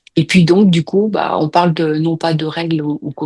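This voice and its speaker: With ordinary pitch variation, a woman speaks in a fairly low pitch, in a dry, close sound with no echo. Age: 60s. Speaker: hypnosis client. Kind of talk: casual chat. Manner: halting.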